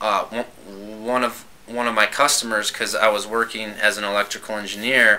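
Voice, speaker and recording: Over noticeable background noise, a man speaks in a fairly low pitch with fairly even intonation. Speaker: stuttering program participant, engineer. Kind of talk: casual chat. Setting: podcast recorded at a convention. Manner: stuttering.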